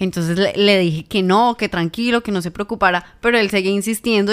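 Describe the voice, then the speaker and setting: A woman talks at a very fast pace with fairly even intonation. The recording is very clean, with a silent background. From Colombia, Tolima (Ibagué). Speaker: journalist and podcast co-host. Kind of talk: casual chat.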